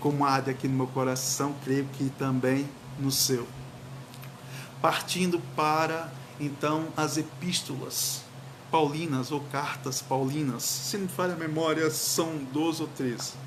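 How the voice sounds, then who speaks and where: A man with a fairly high pitch, flat monotone delivery and fairly slow pace, plus audible room echo and noticeable background noise. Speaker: pastor. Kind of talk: sermon. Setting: livestream.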